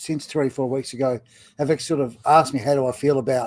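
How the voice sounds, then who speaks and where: A man's fairly high-pitched voice with an Australian accent, at a fairly quick pace, in a dry, close sound with no echo. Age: 50s. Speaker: retiring business owner and content creator. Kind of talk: casual interview chat; spoken introduction. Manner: hesitant, many fillers.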